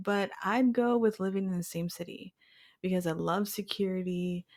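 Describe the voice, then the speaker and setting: A woman with an American accent and a plain, everyday voice, medium pitch, fairly even intonation, moderate pace, very clean recording with a silent background. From Houston, Texas. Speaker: podcast host. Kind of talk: casual chat.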